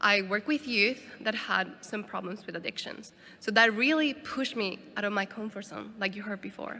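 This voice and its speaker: Speaking with a Spanish accent, a woman uses a fairly high pitch, ordinary pitch variation and a moderate pace. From Bolivia, La Paz. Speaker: disaster response volunteer worker. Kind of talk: conference talk. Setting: conference stage with audience.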